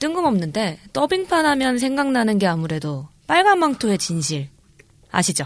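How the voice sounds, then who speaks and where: At a moderate pace, a woman talks in a fairly high voice with very wide pitch swings. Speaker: actress and podcast co-host. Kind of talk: casual chat. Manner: soft, gentle voice.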